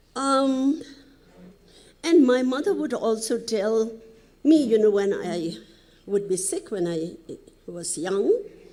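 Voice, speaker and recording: With audible room echo, the voice moves at a very slow pace, broken by long, frequent pauses, its pitch swinging very widely. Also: woman. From Nepal, Helambu (Sindhupalchok). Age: 70s. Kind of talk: conference presentation. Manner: halting, with frequent fillers.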